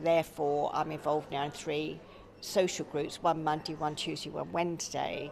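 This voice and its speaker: A woman speaks at a moderate pace with a very deep, low pitch and vocal fry. Her intonation is monotone and flat. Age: 70s. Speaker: charity volunteer. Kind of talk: radio interview.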